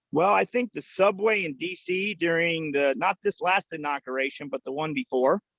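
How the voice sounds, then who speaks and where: Loud and with an American accent, a man talks with a high pitch and lively intonation in a dry, close sound with no echo. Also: moderate pace. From Pennsylvania, Lancaster County. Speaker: farmer with traveling animals. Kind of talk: casual interview.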